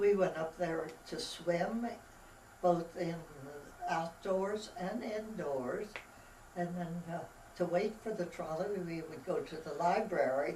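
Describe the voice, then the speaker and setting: A woman with an American accent and fairly low pitch, at a very slow pace with long, frequent pauses and ordinary pitch variation, plus audible room echo and noticeable background noise. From Pennsylvania, US (Palmyra area). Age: 90s. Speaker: elderly local resident. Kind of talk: oral history interview. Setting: library.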